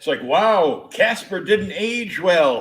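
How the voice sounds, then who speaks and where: A man with a New England accent and lively intonation. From Rhode Island. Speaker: podcast host. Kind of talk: casual chat.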